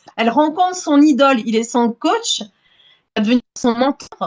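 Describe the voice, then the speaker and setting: Speaking at a moderate pace, a woman with a high pitch shows ordinary pitch variation. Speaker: romance novelist. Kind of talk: casual interview chat. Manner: hesitant, many repetitions and fillers.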